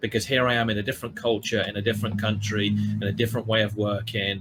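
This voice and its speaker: Over music in the background, a man speaks at a fairly low pitch in a monotone, flat way. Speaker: panel guest. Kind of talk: panel discussion. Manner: hesitant, many ums.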